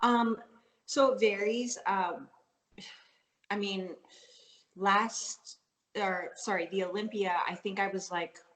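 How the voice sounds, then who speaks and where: Speaking fairly slowly with a slight Canadian accent, a woman uses a medium pitch and ordinary pitch variation. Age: 30s. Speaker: professional fitness athlete. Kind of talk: interview. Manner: casual, filler-heavy.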